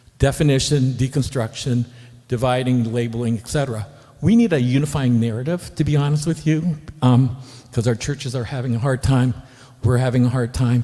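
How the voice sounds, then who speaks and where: This somewhat breathy voice has a dark, mellow tone, fairly even intonation and a fairly quick pace. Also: man, medium pitch for a man. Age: 60s. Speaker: audience member asking a question. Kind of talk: Q&A question. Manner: halting.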